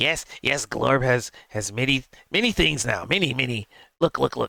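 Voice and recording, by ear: In a put-on character voice, a man speaks at a medium pitch and a moderate pace.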